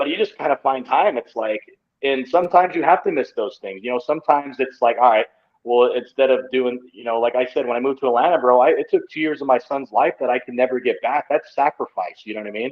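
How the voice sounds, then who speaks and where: Talking at a fairly quick pace, a man with an American accent uses an ordinary speaking voice at a medium pitch. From Utah. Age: 30s. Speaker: pro wrestler. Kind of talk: casual chat.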